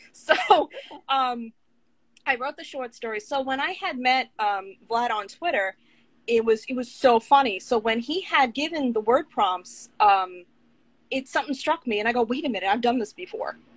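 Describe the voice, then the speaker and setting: With a New York accent, a woman speaks at a high pitch. Her intonation is lively and her pace moderate. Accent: New York, tame. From Long Island, New York. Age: 30s. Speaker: author and writing coach. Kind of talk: casual interview. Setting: Instagram live video.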